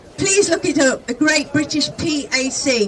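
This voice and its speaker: A woman projects a raised voice at an extremely high pitch with ordinary pitch variation. Noticeable background noise is present. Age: 60s. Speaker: retired protester, rally speaker. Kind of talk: protest rally speech.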